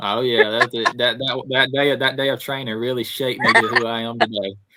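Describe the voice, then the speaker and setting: A man with a Southern US accent speaks at a fairly quick pace. His medium-pitched voice is monotone, with flat intonation. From Alabama. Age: 20s. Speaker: motocross racer. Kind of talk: podcast interview.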